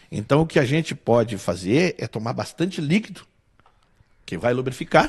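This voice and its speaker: Somewhat breathy and medium in pitch, a man talks at a moderate pace with very wide pitch swings. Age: 60s. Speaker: musician and singer. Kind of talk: interview conversation.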